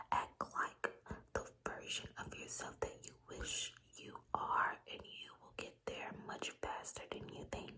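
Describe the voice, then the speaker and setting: Amid noticeable background noise, a woman whispers at a very slow pace. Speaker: ASMR creator. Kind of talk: ASMR girl talk, soft-spoken advice to the viewer. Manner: soft-spoken, whispered.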